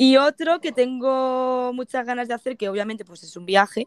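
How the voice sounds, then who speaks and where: Her voice is high-pitched for a woman. The sound is dry and close with no echo, in a very clean recording with a silent background. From Spain, province of Toledo. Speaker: van traveler. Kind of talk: casual interview.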